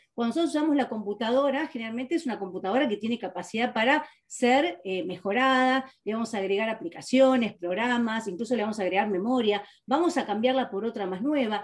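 A woman with a fairly high pitch talks very fast, with hardly any pauses. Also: ordinary pitch variation. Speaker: metaphysical therapist and guide; guide. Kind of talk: interview. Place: home room. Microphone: webcam.

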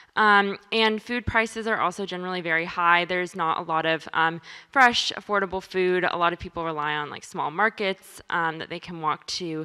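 Against a quiet background, a woman with a bright, sharp tone speaks at a moderate pace with ordinary pitch variation. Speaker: presenter. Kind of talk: presentation talk. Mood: calm, many filler ums. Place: meeting room. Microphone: handheld.

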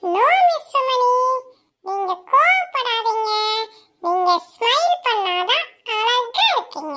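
A woman's squeaky, cartoonish character voice, extremely high in pitch, at a very slow pace. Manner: polite, cheerful, formal.

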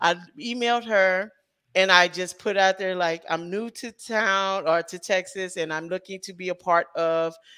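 With an American accent and a bright, sharp tone, a woman speaks at a moderate pace over a quiet background, her intonation fairly even but her loudness swinging widely. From US Midwest, St. Louis. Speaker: independent filmmaker and writer. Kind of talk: interview. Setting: video call livestream. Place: home room. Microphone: headset.

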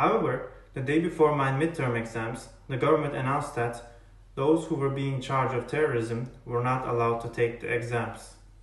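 At a moderate pace, a man speaks with fairly even intonation amid audible room echo. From Turkey. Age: 20s. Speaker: college student. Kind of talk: personal testimony to camera. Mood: earnest, serious. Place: home room. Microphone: earbuds.

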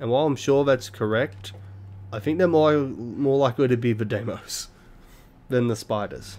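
A man speaks with an Australian accent. He leaves long, frequent pauses. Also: ordinary pitch variation, moderate pace. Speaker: gaming YouTuber doing a blind let's play. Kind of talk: live gameplay commentary. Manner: casual, halting with many fillers. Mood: relaxed, joking.

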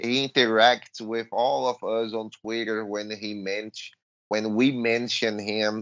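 Speaking with a Portuguese accent, a man of medium pitch keeps a fairly slow pace and fairly even intonation. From Brazil. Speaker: hockey podcast co-host. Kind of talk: casual sports chat.

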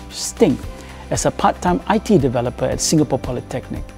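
Man speaking at a moderate pace, faint music in the background. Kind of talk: interview answer. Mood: grateful, proud. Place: hall.

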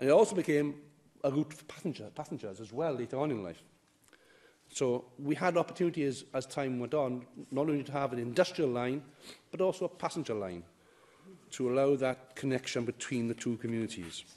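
A man with a dark, mellow tone speaks fairly quickly, with lively intonation and big swings in loudness. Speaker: elected member speaking in debate. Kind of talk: formal debate speech. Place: hall. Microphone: podium.

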